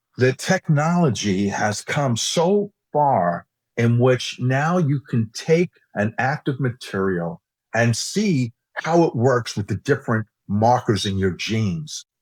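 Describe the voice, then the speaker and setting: With an American accent, a man speaks very slowly in a somewhat breathy voice at medium pitch, using very wide pitch swings. The recording is very clean, with a silent background and a dry, close sound with no echo. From New York, US. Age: 60s. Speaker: cosmetics scientist and executive. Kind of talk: interview conversation.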